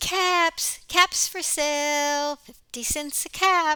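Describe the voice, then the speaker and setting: Putting on a squeaky character voice, a woman speaks at high pitch, very slowly, with fairly even intonation. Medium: read story.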